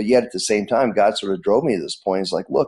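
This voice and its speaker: A man's dark, mellow tone is heard over a quiet background. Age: 60s. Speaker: church planter. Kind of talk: interview. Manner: halting, many repetitions.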